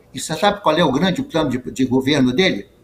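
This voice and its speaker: Noticeable noise runs in the background. Over it, a man speaks at a fairly high pitch. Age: 80s+. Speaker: retired judge. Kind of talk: interview. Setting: video call. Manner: halting.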